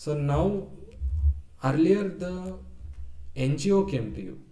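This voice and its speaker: With a South Indian accent, the speaker has a dark, mellow tone, and audible room echo surrounds the voice. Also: man. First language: Kannada. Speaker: data engineer presenting a tax reform idea. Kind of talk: webinar presentation. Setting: live webinar. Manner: hesitant, many fillers.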